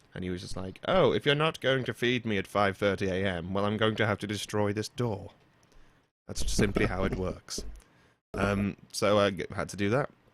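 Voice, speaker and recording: Here a man speaks with a British accent at a fairly low pitch. His pace is moderate, with ordinary pitch variation. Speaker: podcast host. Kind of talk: casual chat. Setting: online voice call podcast. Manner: relaxed, rambling. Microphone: close to mic with pop screen, through a mixer.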